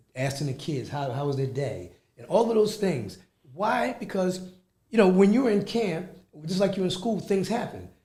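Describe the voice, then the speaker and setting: A man with an American accent and a dark, mellow tone speaks at a high pitch and moderate pace with lively intonation, and audible room echo surrounds his voice. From Philadelphia, Pennsylvania. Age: 60s. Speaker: youth club executive director. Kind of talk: radio interview.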